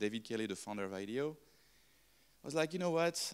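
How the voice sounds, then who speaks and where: Talking at a very fast clip, a man with a French accent uses lively intonation. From France. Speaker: design consultant; speaker. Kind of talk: talk to live audience. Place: classroom. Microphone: handheld.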